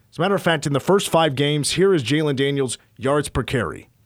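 A plain, everyday voice from a man with an American accent, fairly high pitch and lively intonation. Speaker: sports radio host. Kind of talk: casual sports talk radio. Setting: studio.

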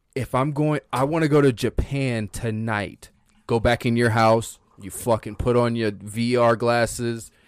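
In an ordinary speaking voice, a man speaks at a medium pitch and a fairly slow pace with fairly even intonation, the sound dry and close with no echo. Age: 30s. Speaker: content creator. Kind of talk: casual chat.

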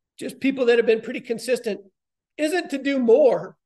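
A man's ordinary pitch variation comes through against a quiet background. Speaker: college softball head coach. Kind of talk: interview.

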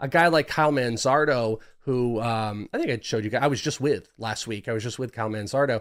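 Speech comes at a fairly quick pace with hardly any pauses, in an American accent with ordinary pitch variation. The recording is very clean, with a silent background. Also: man, medium pitch for a man. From US West, Northern California (Bay Area). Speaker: fantasy baseball prospect analyst. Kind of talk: casual chat.

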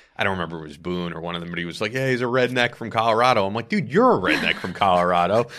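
A man speaks with a very deep, low pitch and an American accent. His tone is bright and sharp, with ordinary pitch variation. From New York. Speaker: podcast host. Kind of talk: casual chat. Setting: studio.

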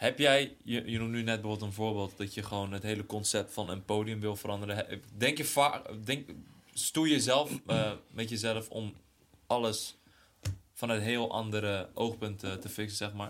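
An unremarkable speaking voice comes through on a very clean recording with a silent background. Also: man, fairly low pitch for a man, fairly even intonation, moderate pace. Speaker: podcast co-host. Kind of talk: casual chat.

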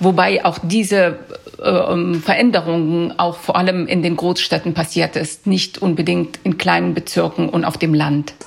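Over noticeable background noise, a woman speaks with fairly low pitch, fairly even intonation, and very even loudness. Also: fairly slow pace. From Afghanistan (Kabul), then Germany from age 13. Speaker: freelance journalist. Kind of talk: interview.

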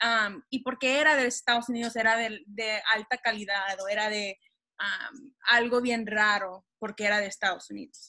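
A woman talks at a fairly slow pace in a fairly high pitch with ordinary pitch variation and a bright, sharp tone. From Texas. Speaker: podcast co-host, doctoral student. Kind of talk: interview. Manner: code-switching Spanish and English.

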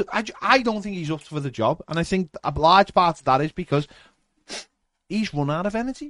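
A man speaks in an animated tone with a Liverpool accent and very wide pitch swings. The background is quiet. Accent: Scouse. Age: 40s. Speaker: fan podcast host. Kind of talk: casual chat. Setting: live stream.

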